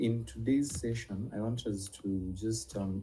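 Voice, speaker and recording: A somewhat breathy, dark, mellow voice at a very slow pace, with ordinary pitch variation and audible room echo. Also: man. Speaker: nutrition and herbal medicine teacher. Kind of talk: online class lecture. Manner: hesitant, many fillers.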